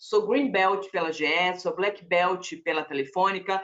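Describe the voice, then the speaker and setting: A woman speaks at a moderate pace in a normal speaking voice of medium pitch. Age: 40s. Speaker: corporate trainer. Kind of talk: presentation.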